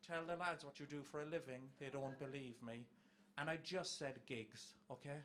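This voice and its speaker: A man with an Irish accent and a fairly high-pitched voice. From Ireland. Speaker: comedian. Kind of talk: stand-up.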